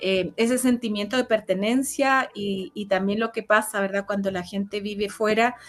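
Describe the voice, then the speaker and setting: A woman's medium-pitched voice at a moderate pace, fairly even in intonation, with hardly any pauses and a quiet background. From Chile. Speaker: interview guest. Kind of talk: casual interview. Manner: hesitant, many fillers.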